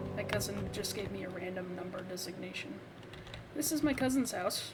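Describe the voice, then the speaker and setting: Through audible room echo and noticeable background noise, a woman talks at a fairly quick pace in a medium-pitched voice with lively intonation. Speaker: gaming video creator. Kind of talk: game walkthrough commentary. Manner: stumbling over words. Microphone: poor audio quality.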